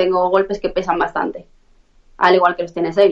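A woman's voice of medium pitch. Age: 20s. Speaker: professional fighter. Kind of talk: interview.

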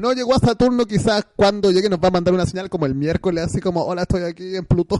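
A man's high-pitched, dark and mellow voice at a very fast pace, dry and close with no echo. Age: 30s. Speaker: online radio host. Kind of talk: casual chat.

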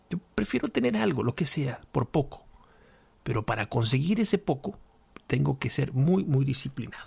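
A man speaks at a moderate pace in a medium pitch, somewhat breathy. His intonation is lively, and the sound is dry and close with no echo. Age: 40s. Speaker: podcast host. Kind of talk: solo monologue podcast, reflective talk. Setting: home studio with microphone and lamp. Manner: halting, many repetitions and fillers.

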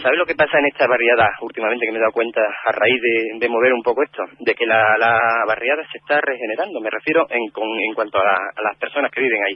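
A man talks at a very fast pace with hardly any pauses and ordinary pitch variation. Noticeable background noise runs underneath. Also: medium pitch for a man. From Cáceres, Extremadura, Spain. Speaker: neighbourhood community organiser. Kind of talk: radio interview.

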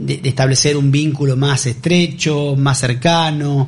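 At a moderate pace, a man talks in a fairly high, somewhat breathy voice. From Argentina. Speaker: radio host. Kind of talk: radio interview. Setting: radio studio. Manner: hesitant, many fillers.

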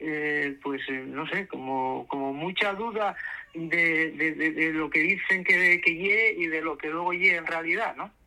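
A high-pitched man speaks at a moderate pace with ordinary pitch variation over noticeable background noise. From Asturias, Spain. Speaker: playwright and actor. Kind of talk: radio interview.

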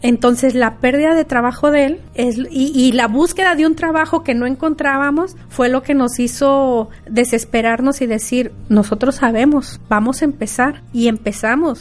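A woman speaks at a high pitch. Her pace is fairly slow and her intonation fairly even. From Mexico, Río Verde, San Luis Potosí. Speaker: restaurant owner. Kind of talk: interview.

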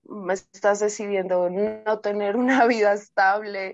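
Speaking very slowly, a woman keeps her fairly high voice in fairly even intonation. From Colombia. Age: 30s. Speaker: reggaeton artist and DJ. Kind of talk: casual interview.

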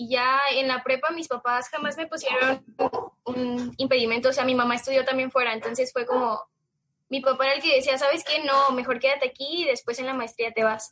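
A woman with a Mexican accent projects a raised, high-pitched voice at a fairly quick pace, her tone bright and sharp and her intonation monotone and flat. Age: 20s. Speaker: marketing student and small business founder. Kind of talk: casual interview.

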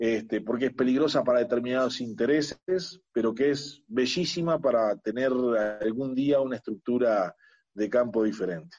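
A man speaks at a moderate pace with a Uruguayan accent. His pitch sits at a medium level with ordinary pitch variation. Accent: Rioplatense Spanish (Uruguayan). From Uruguay, Montevideo (La Teja). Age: 50s. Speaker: agronomist and former senator. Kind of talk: interview. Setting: video call.

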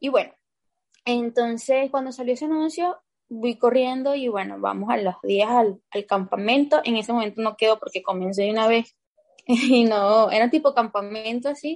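In a fairly high pitch, a woman keeps to a moderate pace. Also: ordinary pitch variation. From Venezuela. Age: 20s. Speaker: basketball player. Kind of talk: interview.

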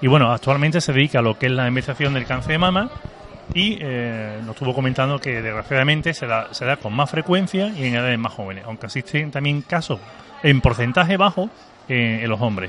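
Over noticeable background noise, a man with lively intonation talks at a fairly quick pace and a medium pitch. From Seville, Andalusia. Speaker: local radio host. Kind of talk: radio interview. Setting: live broadcast from a tavern. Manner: hesitant, many fillers.

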